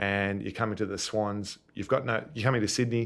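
This man talks at a fairly quick pace in a fairly low pitch, his intonation fairly even. The recording is very clean, with a silent background. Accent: Australian. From Melbourne, Australia. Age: 30s. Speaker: retired Australian rules footballer. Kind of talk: interview. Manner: hesitant, many fillers.

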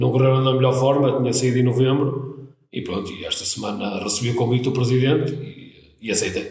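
Audible room echo around a man's fairly quick delivery. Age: 40s. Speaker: football coach. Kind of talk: interview. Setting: studio. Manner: halting, many repetitions.

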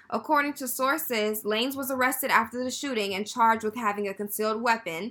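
A woman's raised, projected voice with ordinary pitch variation. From Texas, Houston. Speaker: podcast co-host. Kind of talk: casual chat.

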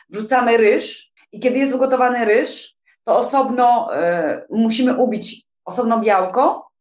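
Speaking high in pitch at a fairly slow pace, a woman keeps her intonation fairly even while her loudness swings widely, with audible room echo around her. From Poland, Silesia. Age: 40s. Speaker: tour guide. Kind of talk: casual interview chat.

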